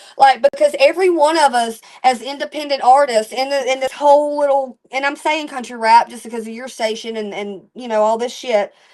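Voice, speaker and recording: With an animated tone, a woman talks at a fairly quick pace in a high pitch with ordinary pitch variation. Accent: Alabama. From Alabama. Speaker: country rap musician. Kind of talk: interview. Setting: live stream.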